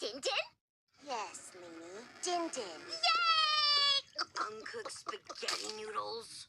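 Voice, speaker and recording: In a cartoonish character voice, a female-sounding speaker talks at a very slow pace. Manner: theatrical, melodramatic.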